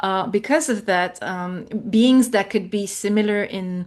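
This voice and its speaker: Fairly slow speech in a French accent, with ordinary pitch variation and a quiet background. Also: woman. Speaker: spiritual guest, artist and anthropologist. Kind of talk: interview. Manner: halting, searching for words.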